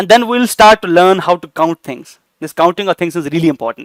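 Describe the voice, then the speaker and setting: A high-pitched man in an Indian accent talks with ordinary pitch variation, the sound dry and close with no echo. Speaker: AI teacher. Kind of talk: lecture. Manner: hesitant, many fillers.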